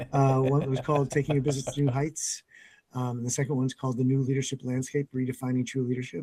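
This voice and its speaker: A man's medium-pitched, somewhat breathy voice with a dark, mellow tone, monotone, flat intonation and a very fast pace, in a dry, close sound with no echo. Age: 60s. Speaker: business coach and CEO. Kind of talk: podcast interview.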